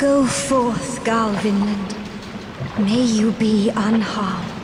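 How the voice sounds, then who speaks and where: Amid loud background noise, a woman puts on a character voice with a fairly high pitch, speaking very slowly. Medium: voice reel.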